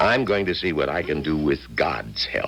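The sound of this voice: Put-on character voice from a man, extremely low-pitched yet fairly bright, with lively intonation over faint background noise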